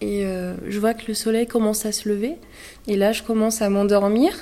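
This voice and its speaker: Fairly even intonation from a woman with a fairly high pitch. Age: 20s. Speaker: mother sharing postpartum depression story. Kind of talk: testimony. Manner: halting.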